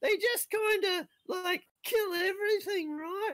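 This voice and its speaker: A man uses a put-on character voice at an extremely high pitch. He talks at a fairly slow pace. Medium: actual play. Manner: rambling, casual, stammering.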